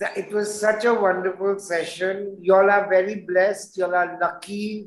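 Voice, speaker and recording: A man with a high pitch speaks in a monotone, flat intonation at a moderate pace. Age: 60s. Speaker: fashion designer. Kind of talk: online Q&A session. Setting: at home.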